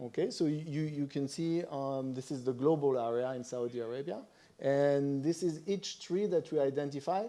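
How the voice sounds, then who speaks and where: A man speaks with a French accent, his voice fairly high in pitch and dark and mellow in tone. His pace is moderate, with ordinary pitch variation. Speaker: conference presenter on satellite imagery. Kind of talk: conference presentation.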